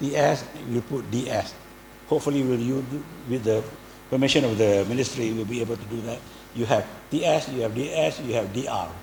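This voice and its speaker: A man talks fairly quickly, his pitch varying in an ordinary way, while noticeable background noise runs behind him. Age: 70s. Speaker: design professor. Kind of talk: speech. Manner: halting.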